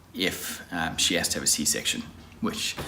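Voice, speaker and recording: A man at a moderate pace, with audible room echo. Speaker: vlogger. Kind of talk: vlog.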